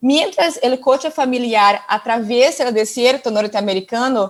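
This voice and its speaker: In a Portuguese accent, a woman speaks at a fairly slow pace with a high pitch and ordinary pitch variation. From northern Brazil, Amazon region. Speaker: doctoral researcher presenting at conference. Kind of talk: conference presentation. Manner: halting.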